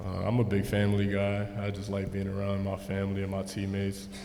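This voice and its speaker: A man with an American accent speaks at a fairly low pitch in a monotone, flat delivery. Noticeable background noise and audible room echo fill the recording. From US Northeast (New York/New Jersey area). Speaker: basketball rookie. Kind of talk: press conference.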